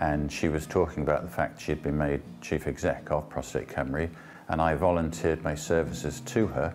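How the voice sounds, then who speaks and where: Over music in the background, a man with a very deep, low voice talks at a very fast pace. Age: 70s. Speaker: cancer charity volunteer. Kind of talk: testimony. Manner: hesitant, with frequent fillers.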